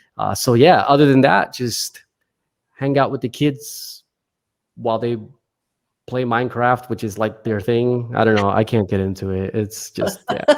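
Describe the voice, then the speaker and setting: In a very clean recording with a silent background, a man at medium pitch speaks at a moderate pace with ordinary pitch variation and long, frequent pauses. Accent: New Jersey. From US Northeast, New Jersey. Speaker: pastor and author. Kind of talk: interview conversation.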